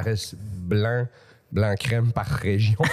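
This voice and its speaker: Somewhat breathy, a man speaks at a medium pitch. His pace is fairly slow. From Quebec (Montreal, then Laval suburbs). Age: 40s. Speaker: comedian. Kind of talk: casual chat.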